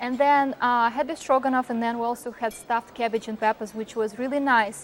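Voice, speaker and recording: This woman's pitch is high. She talks at a fairly quick pace. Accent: Russian. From Russia. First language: Russian. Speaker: restaurant reviewer. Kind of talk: casual chat. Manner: animated.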